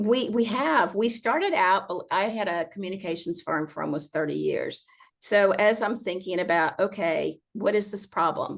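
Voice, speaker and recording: Using vocal fry, a woman speaks at a medium pitch and a moderate pace with ordinary pitch variation. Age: 60s. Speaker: accessible vacation rental owner and advocate. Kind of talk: casual interview conversation.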